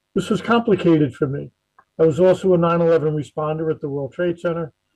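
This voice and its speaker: Talking at a very fast pace in a New Jersey accent, a man uses a high pitch with ordinary pitch variation. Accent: New Jersey American. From New Jersey, US. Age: 60s. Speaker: encephalitis survivor, retired emergency manager. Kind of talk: personal testimony talk.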